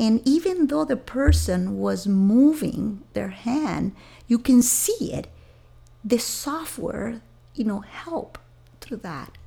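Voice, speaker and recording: Speaking very slowly with a Venezuelan accent, a woman rises and falls widely in loudness. Noticeable background noise runs behind her. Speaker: software engineering executive. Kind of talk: interview conversation.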